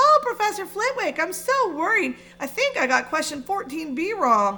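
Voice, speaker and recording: Putting on a character voice, a woman speaks at a moderate pace in an extremely high pitch with very wide pitch swings. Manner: mocking, fretful.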